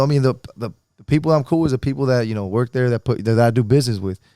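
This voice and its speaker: The voice belongs to a man. The sound is dry and close, with no echo. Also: very clean recording, silent background. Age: 30s. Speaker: podcast host, personal trainer and gym owner. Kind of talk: casual chat. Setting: outdoors on a patio by a fire pit. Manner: animated.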